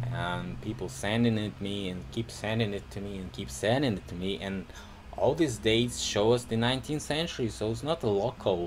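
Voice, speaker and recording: The man's pitch sits fairly low. He talks at a moderate pace. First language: Russian. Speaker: video blogger. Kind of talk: casual commentary to camera. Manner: halting, many fillers.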